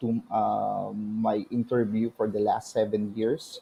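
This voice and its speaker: A man with a Filipino accent. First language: Tagalog. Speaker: virtual assistant. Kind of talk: testimony. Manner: halting.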